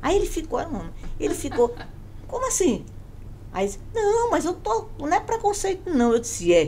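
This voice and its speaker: A woman speaks at a moderate pace with an extremely high pitch, very wide pitch swings, long and frequent pauses, and noticeable background noise. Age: 70s. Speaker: businesswoman and panel moderator. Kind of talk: panel discussion.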